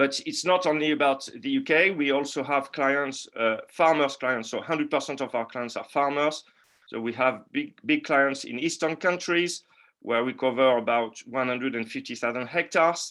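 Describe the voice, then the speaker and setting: Against a quiet background, a man with a French accent and a fairly high pitch speaks at a moderate pace in a bright, sharp tone with ordinary pitch variation. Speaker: market analyst. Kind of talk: webinar presentation. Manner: halting, many fillers and repeats.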